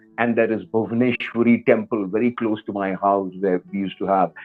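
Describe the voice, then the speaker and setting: With an Indian accent, a man talks at a medium pitch using fairly even intonation. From central and western India (Madhya Pradesh, Maharashtra). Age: 50s. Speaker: rock singer and teacher. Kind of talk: interview storytelling. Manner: hesitant, many fillers.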